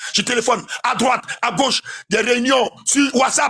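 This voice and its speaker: A man speaks at an extremely high pitch in a raised, projected voice. His tone is animated, with ordinary pitch variation. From Ivory Coast. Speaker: caller on live panel. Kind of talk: heated political rant. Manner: loud.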